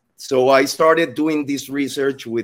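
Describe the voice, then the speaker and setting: A man with a Spanish accent talks at a moderate pace. His pitch varies in an ordinary way. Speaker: psychologist sharing recovery story. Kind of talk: testimony. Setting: video call.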